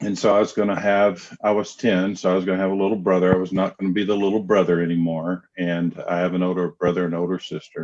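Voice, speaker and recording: A man with a Southern US accent speaks in a very deep, low voice, his flat, monotone delivery running on with hardly any pauses. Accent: Southern drawl. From US South, Knoxville, Tennessee. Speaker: counselor. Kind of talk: interview. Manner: hesitant, many fillers.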